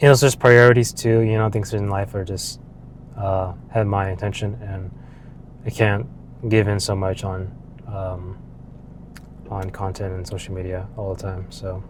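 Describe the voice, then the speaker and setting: With audible room echo, a man speaks at a moderate pace and a fairly low pitch, with fairly even intonation. Long, frequent pauses break up his speech, and his loudness swings widely. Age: 20s. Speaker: vlogger. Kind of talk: casual monologue. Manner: casual, with many fillers.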